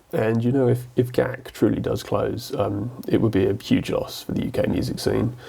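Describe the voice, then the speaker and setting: Against noticeable background noise, a man with an English accent talks at a moderate pace. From England. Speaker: guitar YouTuber. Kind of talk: casual vlog commentary. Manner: hesitant, many fillers.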